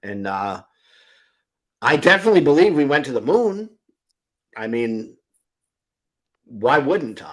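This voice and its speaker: Speaking fairly slowly with long, frequent pauses, a man with an American accent has a fairly high voice. His pitch swings very widely and his loudness shifts a lot. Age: 60s. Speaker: atheist live-stream host. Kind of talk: informal debate. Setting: live stream.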